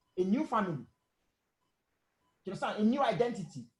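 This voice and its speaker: This man's pitch swings very widely as he talks. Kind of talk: casual debate. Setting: video call. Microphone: voice too low, mic too far.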